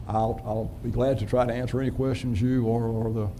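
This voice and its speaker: A man speaks with a strong Southern US accent. Audible room echo and noticeable background noise surround his voice. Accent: deep Southern. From US South, North and South Carolina. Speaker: city manager. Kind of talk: self-introduction at a city council meeting. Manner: folksy, with many fillers.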